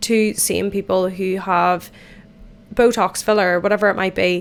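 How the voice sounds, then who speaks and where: A woman in an Irish accent at a moderate pace. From Ireland. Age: 20s. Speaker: podcast host. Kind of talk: casual chat. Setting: in the bath.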